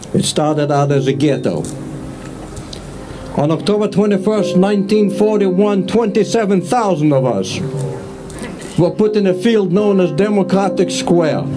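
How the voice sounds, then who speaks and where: A man's high voice at a moderate pace, with ordinary pitch variation, very even loudness, long and frequent pauses, audible room echo and noticeable background noise. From Lithuania. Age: 70s. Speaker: Holocaust survivor. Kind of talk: public speech.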